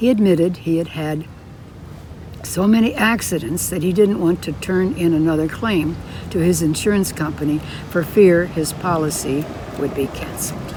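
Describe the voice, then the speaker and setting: A woman speaks at a moderate pace with fairly low pitch and ordinary pitch variation. Noticeable background noise runs underneath. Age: 90s. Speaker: amateur writer. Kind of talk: reading her own true story aloud.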